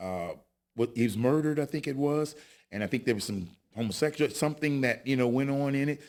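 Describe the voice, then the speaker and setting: A man with an American accent speaks at a very fast pace with ordinary pitch variation. The recording is very clean, with a silent background. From California, Modesto. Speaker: actor and former paparazzo. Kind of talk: casual chat.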